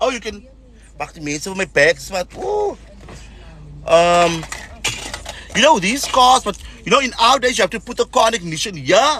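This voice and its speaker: A man with a high pitch speaks in a raised, projected voice with an animated tone and lively intonation, at a moderate pace. His loudness swings widely, long pauses come often, and background noise is noticeable. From South Africa. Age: 40s. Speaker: social media vlogger. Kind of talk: casual livestream monologue.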